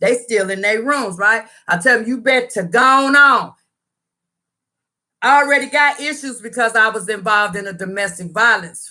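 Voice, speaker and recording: Loud and animated, a woman speaks at a fairly high pitch with ordinary pitch variation and long, frequent pauses. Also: moderate pace. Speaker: YouTuber sharing personal story. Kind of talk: storytime livestream.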